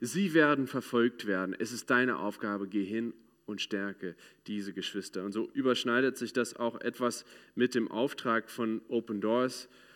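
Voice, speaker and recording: In a very clean recording with a silent background, a man speaks at a fairly slow pace with a medium pitch. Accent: English. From United States. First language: English (speaking German). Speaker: ministry speaker. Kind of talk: sermon. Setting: church.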